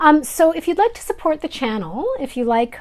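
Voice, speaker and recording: A woman speaks with a Canadian Prairie accent. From Canada, Manitoba. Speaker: craft YouTuber. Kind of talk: casual vlog chat. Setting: filming indoors at home.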